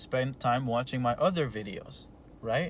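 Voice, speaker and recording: A man with a non-native accent talks at a fairly slow pace. His medium-pitched voice is somewhat breathy. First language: not English. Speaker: entrepreneur coach. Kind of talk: motivational talk. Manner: halting, many repeated words; animated.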